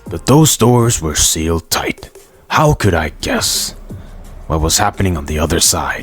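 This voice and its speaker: A man puts on a cartoonish character voice with a very deep, low pitch. Faint music plays in the background. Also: moderate pace. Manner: dramatic, storyteller-like.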